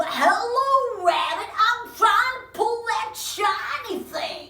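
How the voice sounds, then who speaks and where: A put-on character voice, extremely high-pitched and very slow, with a slight echo. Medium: stage play. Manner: excitable, exclamatory.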